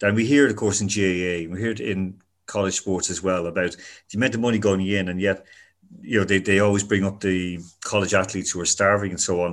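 Speaking at a fairly quick clip, a man with an Irish accent has a fairly low pitch and a fairly even intonation. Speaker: podcast host. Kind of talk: interview. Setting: remote interview.

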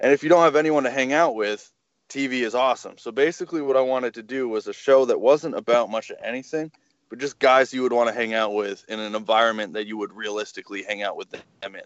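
A man talks very fast at a medium pitch with ordinary pitch variation. His loudness swings widely. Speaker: podcast guest. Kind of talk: casual chat, interview.

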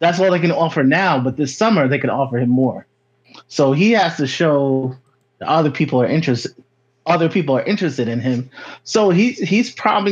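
Lively in intonation, a man with an American accent talks at a fairly quick pace in an unremarkable speaking voice with a fairly high pitch. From Connecticut. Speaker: caller. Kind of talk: call-in discussion. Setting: remote call.

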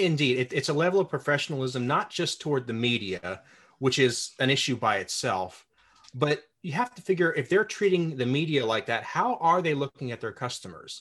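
The speaker talks at a fairly quick pace with lively intonation in an ordinary speaking voice. The background is quiet. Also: man, fairly high pitch for a man. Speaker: podcast host. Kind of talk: interview.

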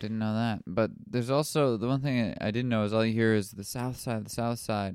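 Soft-spoken and with an American accent, a man talks at a fairly quick pace with a medium pitch and fairly even intonation. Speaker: stand-up comedian. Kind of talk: casual chat.

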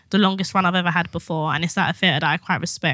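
A woman with a British accent and a bright, sharp tone, on a very clean recording with a silent background. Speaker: writer. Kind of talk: casual chat.

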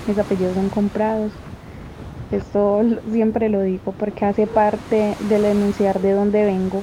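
At a fairly slow pace, a woman speaks at a medium pitch in a monotone, flat delivery with very even loudness, and noticeable background noise is present. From Colombia. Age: 20s. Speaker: feminist activist. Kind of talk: personal testimony.

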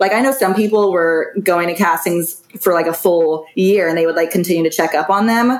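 A woman with a medium pitch speaks at a moderate pace with ordinary pitch variation. Noticeable background noise is present. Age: 20s. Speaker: reality TV contestant. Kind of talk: casual chat.

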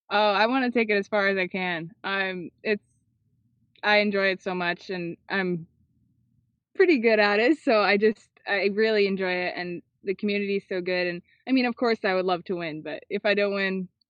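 This woman uses an unremarkable speaking voice at medium pitch. Her pace is moderate and her pitch variation ordinary. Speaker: disc golfer. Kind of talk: interview answers, casual chat.

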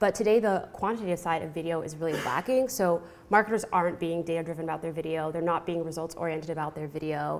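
A woman talks at a very fast pace with hardly any pauses. Her fairly low voice has ordinary pitch variation and an American accent. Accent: American, non-British. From California. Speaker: marketing professional. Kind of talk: conference talk. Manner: hesitant, many fillers.

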